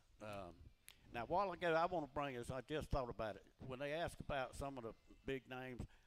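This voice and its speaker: Speaking at a very fast pace with a Georgia accent, a man keeps a medium pitch and lively intonation. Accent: US Southern (Georgia). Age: 70s. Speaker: retired race car driver. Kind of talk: radio interview, storytelling. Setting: live radio show at a beach bar and grill.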